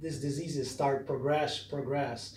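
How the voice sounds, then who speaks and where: A non-native accent at a fairly slow pace, with audible room echo. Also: man. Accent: foreign. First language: not English. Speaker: massage therapist. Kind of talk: tutorial. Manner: casual, conversational.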